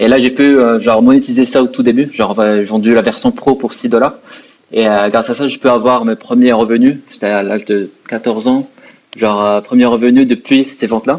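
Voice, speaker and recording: A man speaks at a moderate pace in an unremarkable speaking voice, his medium pitch held in fairly even intonation. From Morocco. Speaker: entrepreneur. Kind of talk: interview.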